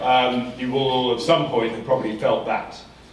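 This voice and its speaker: With an English accent, a man speaks at a moderate pace and medium pitch, with audible room echo and noticeable background noise. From England. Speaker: professor. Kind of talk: conference talk. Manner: halting, many fillers and repetitions.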